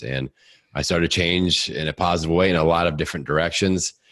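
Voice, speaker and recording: With a Midwestern accent, this energetic voice shows vocal fry over a quiet background. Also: man. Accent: Midwestern American, slight rural twang. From US Midwest, Indiana. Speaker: podcaster and fitness coach. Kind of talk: casual interview. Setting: home basement studio.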